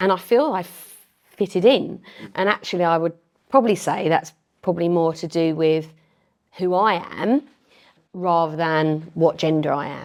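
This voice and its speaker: On a very clean recording with a silent background, a voice with a Thames Estuary accent moves at a moderate pace with ordinary pitch variation and long, frequent pauses. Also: woman, fairly low pitch for a woman. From Medway, Kent, England. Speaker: member of parliament. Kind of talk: interview.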